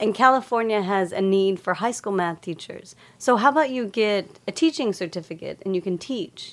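A normal speaking voice with an American accent, lively intonation, a moderate pace and hardly any pauses. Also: woman, medium pitch for a woman. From Texas, Lubbock. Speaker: researcher and former dancer. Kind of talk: casual chat.

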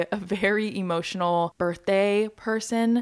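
The recording is very clean, with total silence behind the speaker. She is a woman with a mid-range pitch. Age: 20s. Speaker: podcast host. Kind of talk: casual solo chat. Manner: chatty, laughs often.

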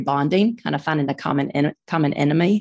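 The background stays quiet. Her voice is pitched very deep and low for a woman. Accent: Southern US. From Birmingham, Alabama, US South. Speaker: author and mom of four girls. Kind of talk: casual interview chat.

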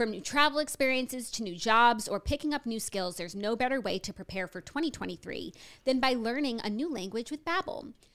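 A woman's unremarkable speaking voice, fairly high in pitch, with lively intonation, a fairly quick pace and hardly any pauses, in a very clean recording with a silent background. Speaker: podcast host. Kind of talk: casual chat.

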